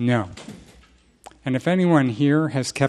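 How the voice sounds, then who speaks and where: The voice belongs to a man. Pitch moves up and down by an ordinary amount. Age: 60s. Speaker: recovery group speaker. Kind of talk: testimony.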